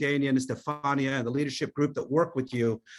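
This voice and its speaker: A man with an American accent speaks at a fairly quick pace in a plain, everyday voice, his fairly high pitch held to fairly even intonation on a very clean recording with a silent background. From New Mexico, US. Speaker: company executive. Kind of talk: corporate presentation call. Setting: conference call.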